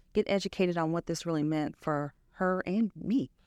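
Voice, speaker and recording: With an American accent, a woman speaks in a very deep, low pitch with ordinary pitch variation, the sound dry and close with no echo on a very clean recording with a silent background. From US Midwest, Chicago, Illinois. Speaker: nonprofit founder, breast cancer survivor. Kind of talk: interview.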